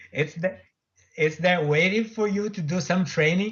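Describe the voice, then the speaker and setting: Speaking at a moderate pace with a Portuguese accent, a man uses a high pitch and lively intonation. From Brazil, Sao Paulo state. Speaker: author and afterlife researcher. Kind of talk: radio interview. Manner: halting, many repetitions.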